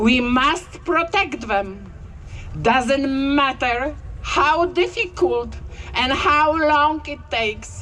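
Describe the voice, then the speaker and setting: In a raised, projected voice, a woman speaks very slowly at a high pitch. Her intonation is lively. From Poland. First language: Polish. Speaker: health worker. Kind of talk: rally speech.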